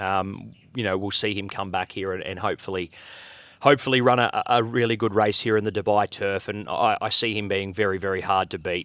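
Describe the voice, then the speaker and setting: With an Australian accent, a man speaks at a fairly quick pace with fairly even intonation. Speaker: horse racing commentator. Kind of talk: interview answer.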